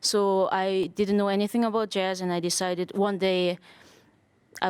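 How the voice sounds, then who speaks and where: A woman's medium-pitched voice in a Korean accent, moderate in pace and flat, monotone in intonation, with a dry, close sound and no echo. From South Korea. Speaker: jazz drummer and bandleader. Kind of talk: interview. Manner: halting.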